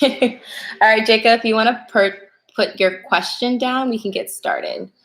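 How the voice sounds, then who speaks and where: Soft-spoken and fairly even in intonation, the voice moves at a moderate pace. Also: woman. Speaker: tarot reader livestreamer. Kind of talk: live stream reading. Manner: casual.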